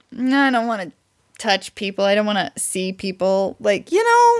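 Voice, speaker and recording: A woman with an American accent talks at a moderate pace with lively intonation. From US Midwest, near Branson, Missouri. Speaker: podcast co-host. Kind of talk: casual chat. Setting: recording while streaming live on video.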